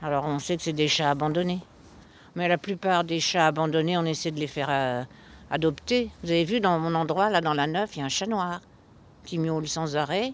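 The speech moves at a moderate pace with long, frequent pauses, in a very clean recording with a silent background. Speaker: cemetery cat feeder. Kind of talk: interview storytelling. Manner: loud.

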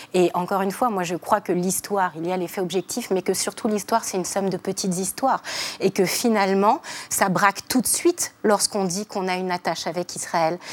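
With noticeable background noise but a dry, close sound and no echo, a woman speaks at a fairly quick pace in a medium pitch with fairly even intonation. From France. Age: 40s. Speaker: feminist activist. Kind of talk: TV panel debate.

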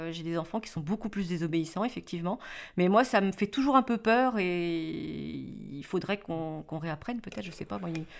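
In a very clean recording with a silent background, a woman uses a normal speaking voice, fairly low in pitch, with lively intonation and a moderate pace. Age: 40s. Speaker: mother of interviewee. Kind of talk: documentary interview.

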